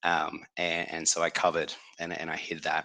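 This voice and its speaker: A man is speaking. He has an Australian accent. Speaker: company executive, operations and HR. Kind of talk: webinar talk. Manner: halting, many repeated words.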